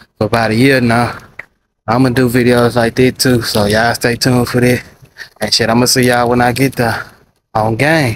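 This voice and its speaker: A man at a moderate pace with monotone, flat intonation, very even loudness and long, frequent pauses, in a dry sound with no echo and noticeable background noise. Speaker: vlogger. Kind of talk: casual vlog chat. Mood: relaxed, playful. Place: street. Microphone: phone near.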